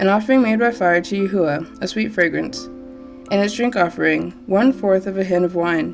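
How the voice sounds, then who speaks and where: Music plays behind a woman speaking at medium pitch with ordinary pitch variation. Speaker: scripture reader. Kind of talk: scripture reading.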